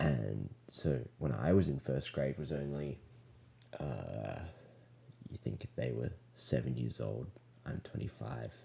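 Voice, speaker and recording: Speaking with an Australian accent, a man has a very deep, low pitch, a dark, mellow tone, vocal fry, and ordinary pitch variation. His pace is very slow, with long, frequent pauses. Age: 20s. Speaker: elementary school teacher. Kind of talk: casual chat. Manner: halting, many fillers.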